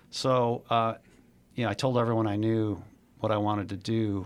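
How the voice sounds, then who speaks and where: A man speaks in a normal speaking voice, his pitch fairly low. The recording is very clean, with a silent background. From Chicago. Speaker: investor and former executive. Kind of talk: interview.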